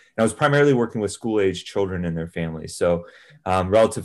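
Heard over a quiet background, the speaker has a normal speaking voice, an American accent and ordinary pitch variation. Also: man. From California central coast (Salinas). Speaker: fitness podcast co-host and athlete. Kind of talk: casual interview chat.

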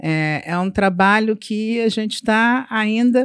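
A woman with an unremarkable speaking voice, pitched fairly high, with ordinary rise and fall. The recording is very clean with a silent background, and the sound is dry and close with no echo. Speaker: insurance broker. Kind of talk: casual interview.

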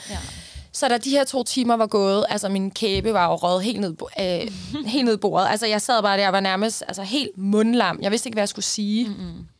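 At a moderate pace, a woman speaks in an unremarkable speaking voice, medium in pitch with ordinary pitch variation. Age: 30s. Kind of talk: casual chat.

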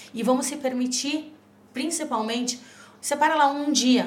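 At a moderate pace, a woman with a high pitch talks over noticeable background noise. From Rio Grande do Sul, Brazil. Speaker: nutrition guest. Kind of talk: casual chat. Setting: studio.

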